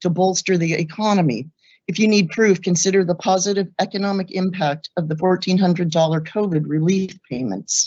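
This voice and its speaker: The speaker is a woman with an ordinary speaking voice at medium pitch. She keeps a moderate pace and ordinary pitch variation. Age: 60s. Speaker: law student giving public comment. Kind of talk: public comment statement.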